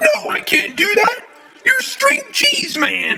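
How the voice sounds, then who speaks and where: A put-on character voice moves along at a very slow pace. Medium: comedy sketch. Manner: excitable, shouting.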